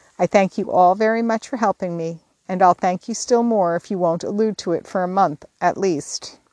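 Someone is reading aloud in a natural voice, with ordinary pitch variation. The background is quiet.

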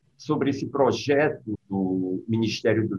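A man speaks very slowly at a medium pitch. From Brazil, Northeast (sertão, Crato). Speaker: writer and physician. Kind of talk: interview conversation.

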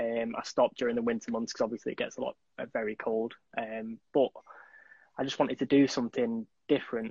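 With a Mancunian accent, a man speaks fairly quickly at a medium pitch, his intonation monotone and flat. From Manchester, England. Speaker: charity runner. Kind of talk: casual chat interview.

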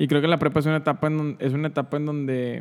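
A man talks in a fairly high voice. His intonation stays flat and monotone. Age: 20s. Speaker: podcast host. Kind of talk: casual chat.

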